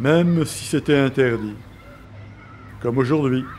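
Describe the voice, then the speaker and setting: A man at medium pitch, very slow in pace, with fairly even intonation. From France, Marseille. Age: 40s. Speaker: documentary narrator. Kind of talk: scripted narration.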